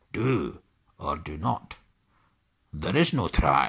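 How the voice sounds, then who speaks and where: It's a put-on character voice at a very slow pace. The pitch swings very widely. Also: man, very deep, low pitch for a man. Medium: read story. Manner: inverted word order.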